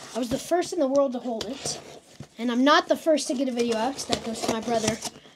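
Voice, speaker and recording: A high-pitched woman's voice with ordinary pitch variation against noticeable background noise. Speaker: tech YouTuber. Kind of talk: unboxing video. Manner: animated.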